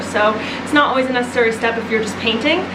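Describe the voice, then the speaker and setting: A woman talks loudly and very fast in a high voice with ordinary pitch variation. Audible room echo and noticeable background noise fill the recording. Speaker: home renovation vlogger. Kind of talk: casual vlog talk. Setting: house under renovation. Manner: animated.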